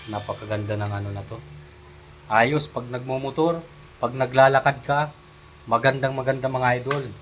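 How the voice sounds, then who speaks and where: A man talks at a moderate pace in a medium pitch, his intonation fairly even. His loudness swings widely, with long, frequent pauses and noticeable background noise. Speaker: vlogger. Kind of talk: product review vlog.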